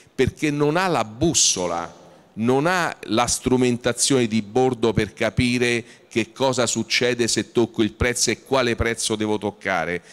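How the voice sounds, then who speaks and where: This man talks at a fairly slow pace. His loudness stays very even throughout. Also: ordinary pitch variation. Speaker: trade association executive; panel moderator. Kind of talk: panel discussion. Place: hall. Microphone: handheld.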